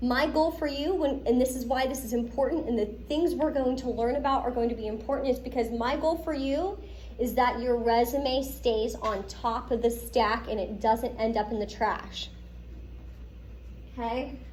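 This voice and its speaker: Speaking at a moderate pace in an American accent, a woman uses a high voice with ordinary pitch variation and an animated tone, amid noticeable background noise and audible room echo. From Pittsburgh, US. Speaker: lecturer. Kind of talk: lecture.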